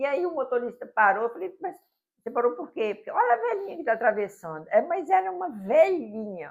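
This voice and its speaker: A woman with a high pitch speaks at a fairly quick pace, with very wide pitch swings and big swings in loudness. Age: 70s. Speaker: public prosecutor. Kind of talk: interview conversation. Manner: anecdotal storytelling.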